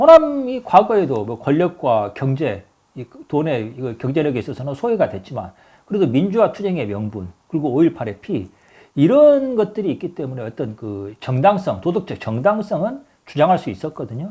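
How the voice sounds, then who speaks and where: The voice moves through very wide pitch swings and big jumps in loudness, with a dark, mellow tone and some breathiness, on a very clean recording with a silent background. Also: man, fairly high pitch for a man, moderate pace. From Honam (Jeolla), South Korea. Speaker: political commentator. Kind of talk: political commentary monologue. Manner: halting, with self-corrections.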